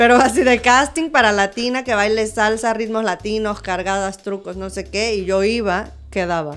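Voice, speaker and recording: A woman's fairly high, animated voice with a Mexican accent, ordinary pitch variation, a moderate pace and hardly any pauses, in a very clean recording with a silent background. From Mexico. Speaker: dancer and musical theatre performer. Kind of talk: casual interview chat. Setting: relaxed studio recording in pyjamas. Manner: animated, laughing.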